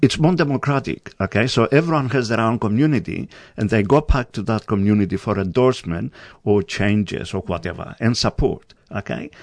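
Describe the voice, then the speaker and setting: A speaker with a Greek accent talks at a fairly quick pace with lively intonation. The background is quiet. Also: man, medium pitch for a man. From Greece, island of Rhodes. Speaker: community radio coordinator. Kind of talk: interview. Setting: studio.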